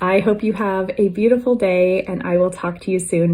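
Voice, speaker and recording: A woman speaks at a moderate pace with a medium pitch and ordinary pitch variation. Her tone is dark and mellow, and somewhat breathy. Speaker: wellness vlogger. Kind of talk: casual talk to camera.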